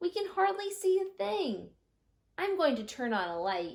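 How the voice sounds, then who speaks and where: A squeaky, put-on character voice at a moderate pace. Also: female-sounding voice, extremely high pitch for a woman. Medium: read story.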